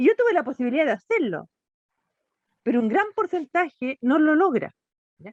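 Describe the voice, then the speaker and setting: Her pitch high and swinging very widely, a woman speaks at a moderate pace with big swings in loudness and long, frequent pauses. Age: 60s. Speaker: NGO director, children's rights advocate. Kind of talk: interview conversation.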